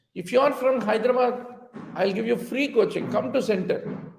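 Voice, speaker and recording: With a Telugu accent, a man speaks amid audible room echo. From India, Telugu-speaking region. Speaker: physician and exam coaching teacher. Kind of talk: online lecture mixing English and Hindi. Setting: live online class, teaching to camera.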